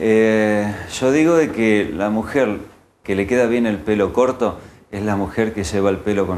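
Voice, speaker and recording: With a Rioplatense accent, a man speaks in a fairly low voice at a moderate pace, with ordinary pitch variation over light background noise. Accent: Argentine Spanish (rioplatense). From Argentina, Santa Fe. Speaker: hairdresser; guest. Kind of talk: interview. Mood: calm, critical opinions. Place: studio. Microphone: lapel.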